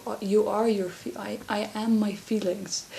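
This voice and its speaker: Soft-spoken and in a Dutch accent, a woman speaks at a very slow pace in a monotone, flat intonation. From Netherlands. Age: 20s. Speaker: vlogger. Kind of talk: casual chat. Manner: halting.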